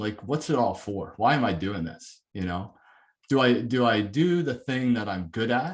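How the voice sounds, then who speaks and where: A man with a Canadian accent uses a normal speaking voice, talking at a fairly slow pace with lively intonation. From Canada, near Toronto. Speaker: corporate learning and development head. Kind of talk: webinar talk.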